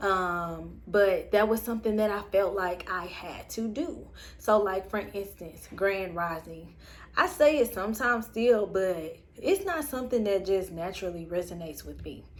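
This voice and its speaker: Loudness rises and falls in big swings while the speech keeps a moderate tempo. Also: woman, medium pitch for a woman, ordinary pitch variation. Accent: Southern US. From US South. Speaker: spiritual vlogger. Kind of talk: personal reflection monologue. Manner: casual, many fillers.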